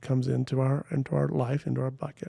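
A somewhat breathy voice with a dark, mellow tone. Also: man. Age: 50s. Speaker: Presbyterian pastor and speaker. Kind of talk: casual chat.

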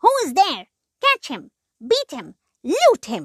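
Shouting in a put-on character voice at an extremely high pitch, a woman speaks very slowly on a very clean recording with a silent background. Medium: read story. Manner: shouting, aggressive.

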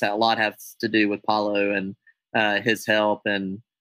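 He is a man speaking with an American accent. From United States. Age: 30s. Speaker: air show pilot and air racer. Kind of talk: casual interview chat.

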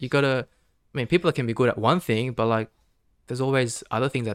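Very fast man's speech in an Australian accent, medium-pitched with ordinary pitch variation, dry and close with no echo on a very clean recording with a silent background. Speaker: podcast guest. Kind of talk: casual chat. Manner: halting.

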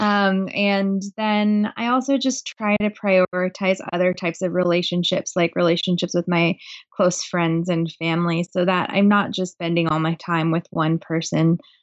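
A woman with a West Coast accent talks at a moderate pace with hardly any pauses. Her medium-pitched voice keeps fairly even intonation and very even loudness. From Portland, Oregon, US Pacific Northwest. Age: 30s. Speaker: writer and high school teacher. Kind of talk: casual interview.

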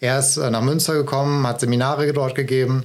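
Against noticeable background noise, a man with a fairly high pitch talks in a monotone, flat intonation. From Ruhr area, Germany (Essen). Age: 30s. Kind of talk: interview.

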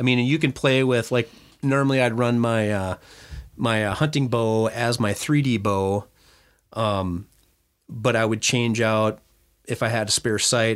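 With an Upper Midwest accent, a man speaks at a moderate pace and medium pitch, his intonation fairly even. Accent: Upper Midwest (Minnesota). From Minnesota. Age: 50s. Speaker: hunter and archer. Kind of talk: casual chat.

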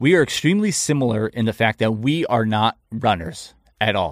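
A man's medium-pitched voice, a plain, everyday voice, at a moderate pace with ordinary pitch variation. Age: 30s. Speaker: podcast host. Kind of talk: casual chat.

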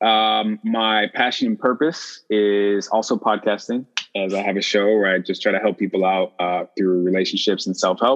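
With an American accent, a man with an unremarkable speaking voice talks at a fairly low pitch and a moderate pace, showing ordinary pitch variation. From Chicago. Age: 30s. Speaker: podcaster. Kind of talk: casual chat.

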